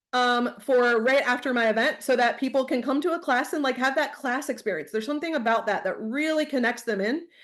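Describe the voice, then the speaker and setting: A woman speaks in a high voice with an animated tone, at a fairly quick pace with hardly any pauses. The background is quiet. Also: ordinary pitch variation. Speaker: essential oils seller. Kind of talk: online training presentation. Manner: fast.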